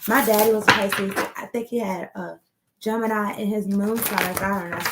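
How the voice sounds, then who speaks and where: A woman talks at a moderate pace in a normal speaking voice. Her pitch sits fairly high. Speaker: tarot card reader. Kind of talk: tarot reading. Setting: home recording on laptop. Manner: casual.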